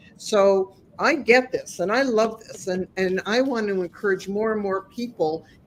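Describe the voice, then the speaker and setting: Speaking at a fairly slow pace over noticeable background noise, a woman uses a medium pitch with ordinary pitch variation. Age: 60s. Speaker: life coach and podcast host. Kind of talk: interview.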